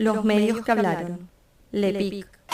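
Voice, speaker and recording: A woman's dark, mellow voice at medium pitch, fairly slow, recorded dry and close without echo. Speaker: radio documentary narrator. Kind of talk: documentary narration.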